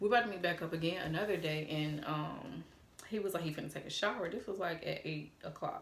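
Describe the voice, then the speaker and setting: A woman with a slight Atlanta accent talks very fast at a fairly low pitch, her intonation varying in an ordinary way, with audible echo in the room. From Atlanta, Georgia, US South. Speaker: YouTuber. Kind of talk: storytime vlog. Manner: animated.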